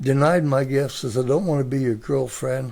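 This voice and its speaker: Somewhat breathy with a dark, mellow tone, a man speaks at a fairly high pitch. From US Midwest, Mansfield, Ohio. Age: 80s+. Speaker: grandfather sharing life stories. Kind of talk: interview.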